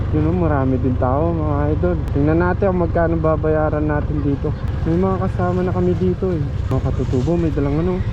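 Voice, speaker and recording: A man's very deep, low voice, fairly quick and lively in intonation, with very even loudness, audible room echo and noticeable background noise. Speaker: motovlogger. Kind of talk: casual travel vlog narration. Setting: on a motorbike ride outdoors. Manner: animated. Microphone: GoPro built-in mic.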